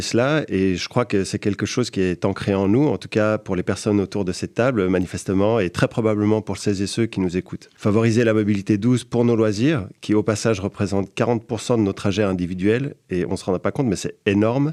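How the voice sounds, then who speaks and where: A man speaks with a Swiss French accent in a fairly low pitch. His tone is dark and mellow, with ordinary pitch variation. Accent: Geneva Swiss French. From Geneva, Switzerland. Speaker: podcast columnist. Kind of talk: podcast chronicle. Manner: hesitant, many fillers.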